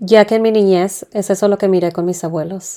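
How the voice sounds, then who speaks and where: Her voice is dark and mellow, pitched in the middle range for a woman, and delivered in a flat monotone. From Tijuana, Mexico. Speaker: podcast host. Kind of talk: personal storytelling.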